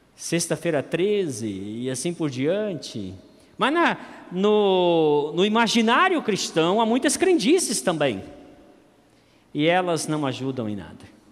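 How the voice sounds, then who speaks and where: Amid audible room echo, a man with a high pitch speaks at a very slow pace with very wide pitch swings. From Campo Grande, Brazil. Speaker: pastor. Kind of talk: sermon.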